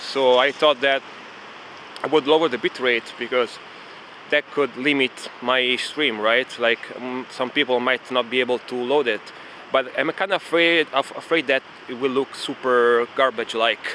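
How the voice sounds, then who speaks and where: Over noticeable background noise, a man speaks at a medium pitch and a moderate pace with fairly even intonation. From Italy, Rome. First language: Italian. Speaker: streamer. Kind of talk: casual live-stream chat. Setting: outdoors, walking in city park.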